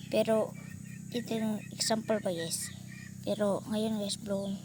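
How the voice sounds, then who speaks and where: The pace of this woman's speech is fairly slow. She talks with a fairly high pitch. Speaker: vlogger. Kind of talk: tutorial. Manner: halting.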